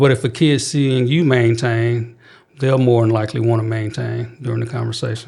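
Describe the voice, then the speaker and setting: A man's somewhat breathy voice with a dark, mellow tone, medium pitch, moderate pace and fairly even intonation. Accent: Southern US. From Mississippi. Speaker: youth crisis prevention worker. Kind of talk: interview. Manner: calm, even tone.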